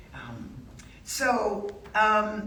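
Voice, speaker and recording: A woman with an American accent is heard through noticeable background noise and audible room echo. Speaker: author and cultural geographer. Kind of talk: public talk. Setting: stage with audience. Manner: animated.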